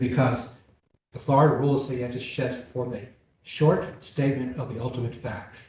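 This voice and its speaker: A man's somewhat breathy, dark and mellow voice at a medium pitch and moderate pace, with audible room echo. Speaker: appellate judge. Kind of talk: courtroom oral argument questioning.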